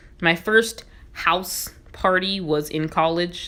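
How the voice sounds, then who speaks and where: A woman with an American accent, over noticeable background noise. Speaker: gaming YouTuber. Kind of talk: casual let's-play commentary. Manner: chatty, rambling.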